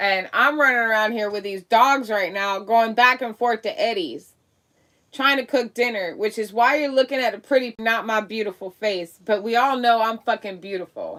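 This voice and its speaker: A loud, animated woman's voice with a bright, sharp tone, an American accent, ordinary pitch variation and a moderate pace. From Miami, Florida. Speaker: live-stream commentator. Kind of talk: political rant on live stream. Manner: loud, boisterous.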